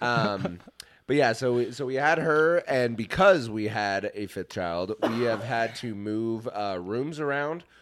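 A man with an American accent at medium pitch, lively intonation and a fairly slow pace, in a very clean recording with a silent background. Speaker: podcast host. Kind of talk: casual chat.

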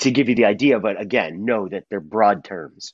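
This man has an unremarkable speaking voice, pitched fairly low, with ordinary pitch variation and a moderate pace. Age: 50s. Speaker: consultant and author on restorative practices in schools. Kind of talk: interview.

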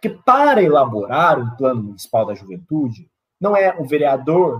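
This man's pitch swings very widely. His voice is somewhat breathy. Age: 20s. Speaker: city council candidate. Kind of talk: political interview.

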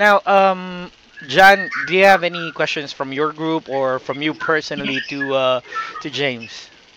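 At a fairly slow pace, the speaker uses ordinary pitch variation over noticeable background noise. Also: man, fairly high pitch for a man. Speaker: football blogger and podcast host. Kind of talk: casual chat.

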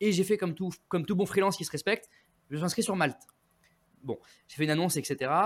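A man with a high voice and ordinary pitch variation talks very fast but with long, frequent pauses and big swings in loudness. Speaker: public speaking coach. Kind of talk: interview. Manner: frequent word repetitions.

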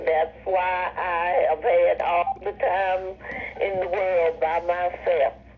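Over noticeable background noise, a woman speaks at a very slow pace in a medium pitch with monotone, flat intonation. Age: 70s. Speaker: retired nurse. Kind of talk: interview.

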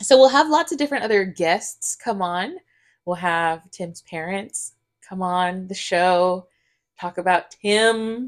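On a very clean recording with a silent background, a woman with an American accent speaks at a very slow pace, her intonation lively and her loudness swinging widely. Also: medium pitch for a woman. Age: 30s. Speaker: podcast host. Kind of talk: casual chat.

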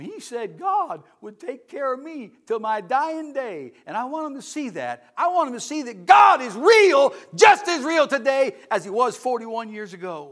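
An extremely high-pitched man's voice with an animated tone, very wide pitch swings, a moderate pace and hardly any pauses. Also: big swings in loudness. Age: 60s. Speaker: missionary evangelist. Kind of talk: sermon. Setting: church.

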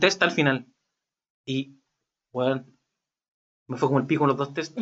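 Pausing often and at length, a man with a Chilean accent speaks in a fairly high pitch. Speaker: podcast co-host. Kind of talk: casual chat. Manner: fast, occasional stutter.

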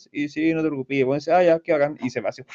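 In a Chilean accent, a man speaks with a fairly high pitch and a dark, mellow tone, the sound dry and close with no echo. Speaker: podcast co-host. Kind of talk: casual chat.

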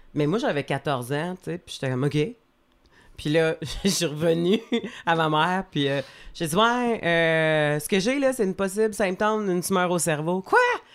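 Speech moves at a fairly slow pace with long, frequent pauses and lively intonation. The recording is very clean, the background silent. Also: woman, fairly low pitch for a woman. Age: 40s. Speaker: comedian. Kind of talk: casual chat.

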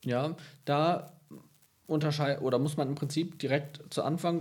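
This man's voice is somewhat breathy and fairly high in pitch. He keeps to a moderate speed. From Münsterland, northwestern Germany. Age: 30s. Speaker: senior physician, diabetologist. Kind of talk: casual interview. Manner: hesitant with fillers. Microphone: poorly set microphone, hard to understand.

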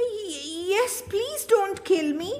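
A shaky, put-on character voice at an extremely high pitch comes through over clear background noise. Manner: quaking, trembling.

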